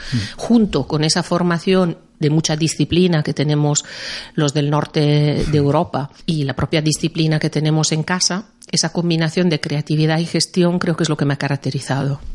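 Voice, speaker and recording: A woman with an Italian accent speaks at a moderate pace, her pitch very deep and low and her loudness very even. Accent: Italian-tinged Spanish. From Milan, Italy. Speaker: music publisher. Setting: studio.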